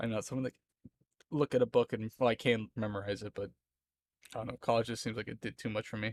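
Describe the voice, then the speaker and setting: In a dry, close recording with no echo, a man with an American accent speaks in a medium pitch and flat monotone at a very fast pace, broken by long, frequent pauses. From Florida, US South. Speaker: streamer. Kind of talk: casual chat. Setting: live stream.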